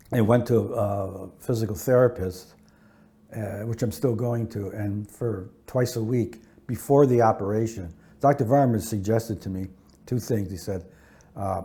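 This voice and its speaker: A man with a dark, mellow tone and a medium pitch speaks at a moderate pace, somewhat breathy, with ordinary pitch variation. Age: 70s. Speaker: criminal defense attorney. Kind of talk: interview answer. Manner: casual, conversational, with fillers.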